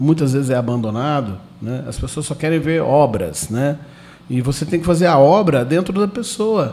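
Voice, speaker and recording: In a normal speaking voice, a man talks at a moderate pace. His intonation is lively. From Brazil, southern Minas Gerais (Itajubá). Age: 30s. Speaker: theatre actor and producer. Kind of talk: radio interview.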